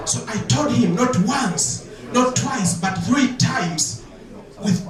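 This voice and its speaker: A man talks at a very slow pace in a high voice. Noticeable background noise and audible room echo surround him. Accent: African. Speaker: comedian. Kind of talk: stand-up. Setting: stage with audience.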